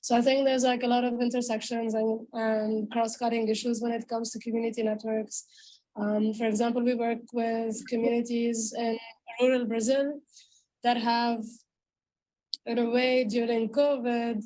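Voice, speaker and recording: A woman with a non-native accent speaks at a moderate pace, her dark, mellow tone fairly high in pitch and her intonation monotone and flat. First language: not English. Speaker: panel speaker on feminist tech. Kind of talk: panel discussion.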